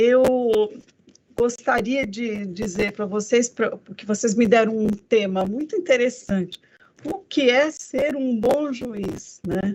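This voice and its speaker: The woman's speech is very slow in pace. She uses a fairly high pitch that varies in an ordinary way. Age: 60s. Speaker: federal judge, court president. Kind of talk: speech to students. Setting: video call from her office. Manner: conversational, with fillers.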